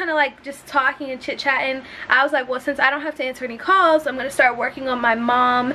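A woman's raised, projected voice at a very fast pace, fairly even in intonation, with light background noise. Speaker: vlogger. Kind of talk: casual vlog chat. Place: home room. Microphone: phone near.

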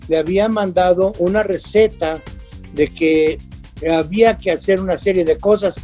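Faint music plays behind a man with a high pitch. His intonation is fairly even and his pace fairly slow. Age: 80s+. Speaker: comedian. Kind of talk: interview answer. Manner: casual, anecdotal. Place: home room.

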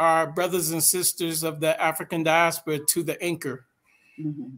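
The man here has a high-pitched voice. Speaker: co-host. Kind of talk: talk show discussion.

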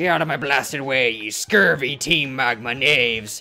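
A man uses a put-on character voice at a medium pitch. He keeps a moderate pace while faint music plays in the background. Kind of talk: archaic, swaggering insults.

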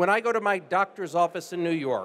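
With an American accent, a man speaks at a moderate pace in a high pitch with ordinary pitch variation. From United States. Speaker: life science investor. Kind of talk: panel discussion. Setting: stage with audience. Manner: fluent, polished. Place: stage. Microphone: handheld.

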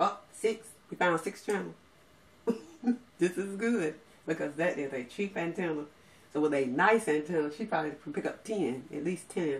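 At a moderate pace, a woman with a fairly low pitch speaks with lively intonation. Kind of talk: tutorial. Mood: pleased, light laughter. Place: home room. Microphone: camera far.

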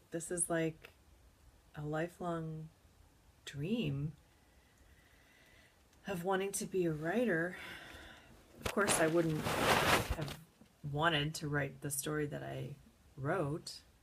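Over loud background noise, a woman talks at a very slow pace with long, frequent pauses and ordinary pitch variation. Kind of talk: casual vlog chat. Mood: excited, moved, amazed. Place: home room. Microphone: webcam.

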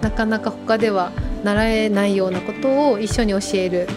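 With clear music in the background, a woman talks at a moderate pace with ordinary pitch variation. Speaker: manager of a maiko troupe, behind-the-scenes staff and musician. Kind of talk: interview answer. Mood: warm, smiling. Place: home room. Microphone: lapel.

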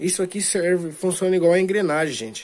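This is a man speaking with a Brazilian accent. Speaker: DIY video maker. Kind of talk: tutorial. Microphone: phone near.

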